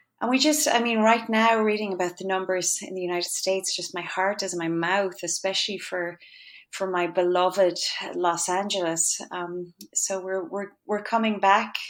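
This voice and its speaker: With a western Irish accent, a woman speaks at medium pitch and a moderate pace, her pitch varying in an ordinary way. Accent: Irish (west of Ireland). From Ireland, County Galway (west). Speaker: composer and conductor. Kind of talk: interview.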